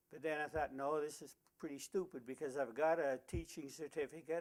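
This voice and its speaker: A man with a Canadian Prairie accent talks at a moderate pace, his fairly high voice held in a flat monotone. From rural Saskatchewan, Canada. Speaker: retired teacher. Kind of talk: oral history interview. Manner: halting, frequent uh fillers.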